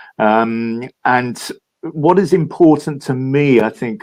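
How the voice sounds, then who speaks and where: A man with a London accent speaks in a dark, mellow tone against a quiet background. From London, England. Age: 70s. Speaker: philanthropist and entrepreneur. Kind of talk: interview. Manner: halting, many fillers.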